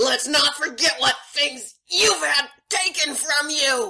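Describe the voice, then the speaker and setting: High-pitched shouting comes in a put-on character voice. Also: fairly slow pace. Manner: angry, shouting.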